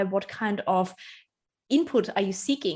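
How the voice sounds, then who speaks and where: Against a quiet background, a woman with a non-native accent speaks at a moderate pace in a fairly high pitch. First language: not English. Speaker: personal branding strategist. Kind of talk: podcast interview.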